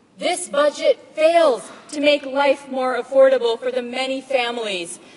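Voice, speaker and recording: High female speech set against noticeable background noise. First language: Tamil. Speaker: politician. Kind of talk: parliamentary speech. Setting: legislative chamber. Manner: formal.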